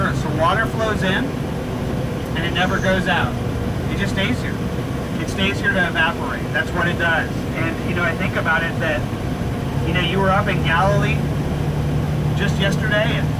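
A man talks at a moderate pace with long, frequent pauses. Loud background noise runs beneath him. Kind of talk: sermon. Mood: earnest, reflective. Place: bus.

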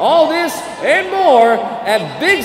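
A man's energetic, upbeat tone with very wide pitch swings over noticeable background noise. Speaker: public address announcer. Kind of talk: hyped-up crowd-engaging PA announcement. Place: stadium.

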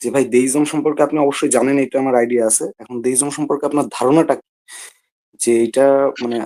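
A soft-spoken man at medium pitch has a dark, mellow tone and monotone, flat intonation. His loudness swings a lot. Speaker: caller. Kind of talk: call-in debate. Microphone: too quiet.

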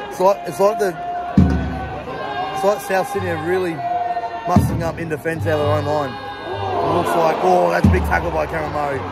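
A man speaks at a fairly quick pace. The sound is dry with no echo, and loud music plays in the background. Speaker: fan vlogger. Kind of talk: live match commentary. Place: stadium. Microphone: phone near.

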